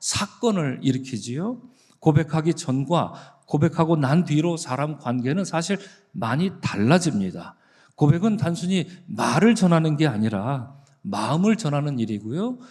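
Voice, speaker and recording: Speaking at a fairly slow pace, a man with a plain, everyday voice uses lively intonation and a fairly high pitch. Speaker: pastor. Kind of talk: sermon. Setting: church.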